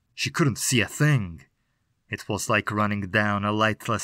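Against a quiet background, a passage is read aloud in a natural voice whose pitch varies in an ordinary way.

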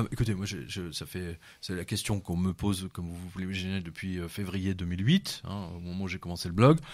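A man's very deep, low voice at a fairly quick pace, fairly even in intonation, on a very clean recording with a silent background. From France, of Serbian descent. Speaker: journalist and essayist. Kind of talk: radio interview. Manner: halting, many repetitions.

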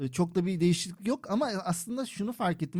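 A man speaks with a dark, mellow tone. His pace is very fast. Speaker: Turkish expat living in Malta. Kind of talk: casual chat.

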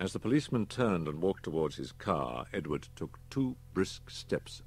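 Reading aloud in a natural voice, intonation lively

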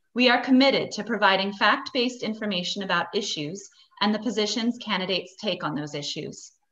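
Bright and sharp in tone, a woman's fairly high voice moves at a fairly quick pace with ordinary pitch variation. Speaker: civic organization chair. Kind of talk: formal scripted welcome. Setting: video call. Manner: formal. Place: home room. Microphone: video call.

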